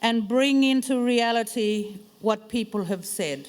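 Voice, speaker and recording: A woman's fairly high voice at a very slow pace, with ordinary pitch variation. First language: Bunaba. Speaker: panel moderator. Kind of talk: formal address.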